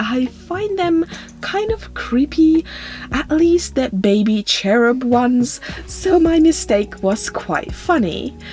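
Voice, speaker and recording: A woman with a non-native accent speaks at a very slow pace over music in the background. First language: not English. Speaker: doll customizing video creator. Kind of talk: voiceover tutorial narration.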